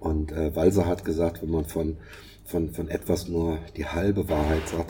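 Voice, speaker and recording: The voice keeps a moderate pace with fairly even intonation. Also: man. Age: 60s. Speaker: podcast co-host. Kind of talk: casual chat. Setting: online remote recording. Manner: halting, many fillers and repetitions.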